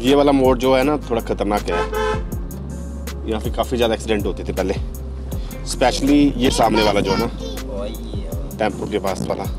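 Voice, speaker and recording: A man's voice at a moderate pace with long, frequent pauses, dry with no echo, over clear background music. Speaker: family vlogger. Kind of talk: casual vlog talk to camera. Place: car. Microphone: lapel.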